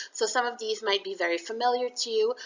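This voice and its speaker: Her pitch fairly high and swinging very widely, a woman speaks at a very fast pace. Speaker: university lecturer. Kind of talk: recorded lecture. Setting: solo audio recording. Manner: casual, conversational.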